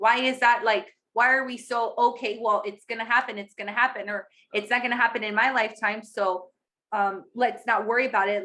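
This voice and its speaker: A woman's bright, sharp voice, fairly high in pitch, with ordinary pitch variation and a moderate pace. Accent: American. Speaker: podcast co-host. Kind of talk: casual podcast conversation.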